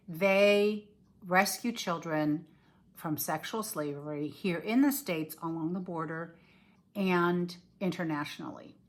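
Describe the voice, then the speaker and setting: On a very clean recording with a silent background, a woman uses a plain, everyday voice, fairly low in pitch, with ordinary pitch variation and a fairly slow pace. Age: 60s. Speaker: cross-stitch designer and video blogger. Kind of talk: casual video chat. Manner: casual, with many fillers.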